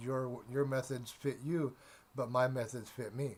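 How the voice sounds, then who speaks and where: The man's pitch sits in the medium range. His voice is somewhat breathy. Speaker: tarot reader. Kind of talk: tarot reading monologue. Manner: halting, many repetitions and fillers.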